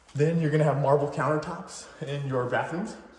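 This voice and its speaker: A man's fairly high-pitched voice at a moderate pace, with audible room echo and noticeable background noise. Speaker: real estate agent. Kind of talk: home tour walkthrough. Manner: casual, slightly halting.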